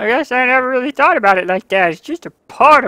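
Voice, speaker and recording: Putting on a character voice, a woman swings her pitch very widely in a dry, close sound with no echo. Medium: game stream. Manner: hesitant, searching for words.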